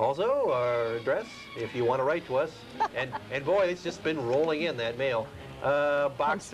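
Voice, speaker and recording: Clear music plays in the background as a man talks at a moderate pace with ordinary pitch variation. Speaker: TV show host. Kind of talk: show host introduction. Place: studio. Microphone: lapel.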